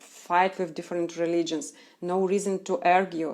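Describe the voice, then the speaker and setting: A woman's fairly low, dark, mellow voice in a Russian accent, monotone and flat, at a moderate pace on a very clean recording with a silent background. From Russia, Chelyabinsk. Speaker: Krishna devotee. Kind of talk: live Q&A stream. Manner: halting.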